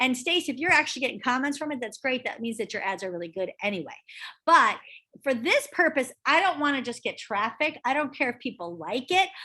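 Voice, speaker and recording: Against a quiet background, a woman raises and projects her high voice, bright and sharp in tone, with very wide pitch swings. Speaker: real estate trainer. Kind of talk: online training session. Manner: fast. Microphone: video call.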